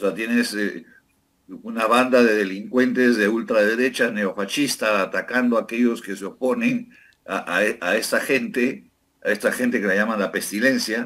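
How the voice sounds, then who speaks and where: A man speaks at medium pitch and a moderate pace. The recording is very clean, with a silent background. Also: fairly even intonation. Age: 60s. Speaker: former politician. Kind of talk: political interview. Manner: hesitant, many fillers.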